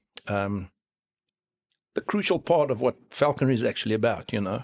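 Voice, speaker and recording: Speaking with a South African accent, a man keeps a moderate pace and ordinary pitch variation. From South Africa, Free State. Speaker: falconer. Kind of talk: casual interview.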